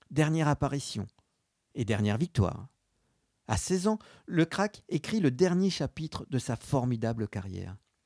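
In a dark, mellow tone, someone speaks at a fairly slow pace with very wide pitch swings and long, frequent pauses, on a very clean recording with a silent background. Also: man, fairly high pitch for a man, dry, close sound with no echo. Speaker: sports history journalist and podcast narrator. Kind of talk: scripted narration.

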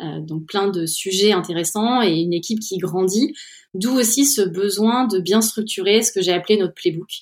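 Using a plain, everyday voice, a woman speaks at a medium pitch and moderate pace with ordinary pitch variation. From central France, Orléans. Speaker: head of product at a software company. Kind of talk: interview.

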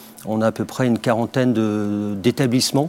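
A man speaks with fairly even intonation. There is noticeable background noise behind him. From Brittany, France. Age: 40s. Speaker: company CEO. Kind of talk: interview. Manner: halting, many fillers.

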